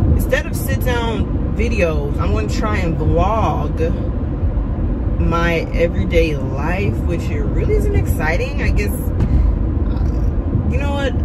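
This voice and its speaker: Loud background noise fills the recording. A woman speaks at a very slow pace. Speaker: vlogger. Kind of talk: casual vlog chat. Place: car.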